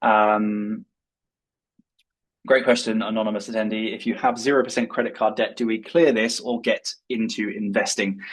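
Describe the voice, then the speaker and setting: A man with a British accent talks at a moderate pace and medium pitch. His intonation stays fairly even. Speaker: money coach. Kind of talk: live webinar Q&A. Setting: live online event.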